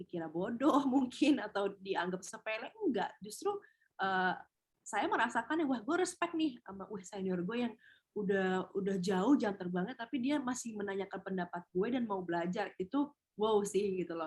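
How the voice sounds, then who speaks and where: Somewhat breathy woman's voice at a medium pitch, moderate pace and lively intonation. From Indonesia, Padang (West Sumatra). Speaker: TV host and beauty pageant winner, webinar speaker. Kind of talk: webinar talk, casual advice. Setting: online webinar.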